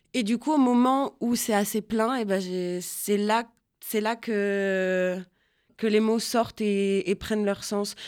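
On a very clean recording with a silent background, a woman speaks very slowly at medium pitch with fairly even intonation. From Réunion. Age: 20s. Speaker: singer-songwriter. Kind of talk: interview. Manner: halting, many repetitions.

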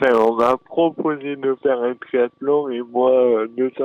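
At a very slow pace, a man talks in a monotone, flat intonation. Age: 20s. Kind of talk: interview. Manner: halting.

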